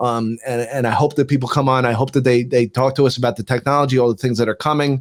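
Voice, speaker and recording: A man's medium-pitched voice in a New Jersey accent, very fast with hardly any pauses, monotone and flat, dry and close with no echo. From US Northeast, New Jersey. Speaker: tech expert, former TV producer. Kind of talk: casual interview chat. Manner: halting, repeats words.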